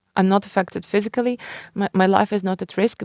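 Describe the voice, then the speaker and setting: A woman with a Ukrainian accent in a dry, close sound with no echo. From Ukraine. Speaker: writer and publisher. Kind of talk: interview. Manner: halting.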